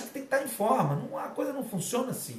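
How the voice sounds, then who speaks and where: An animated tone marks this man's speech over noticeable background noise. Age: 50s. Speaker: fitness and martial arts coach. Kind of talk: casual live talk. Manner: animated, informal.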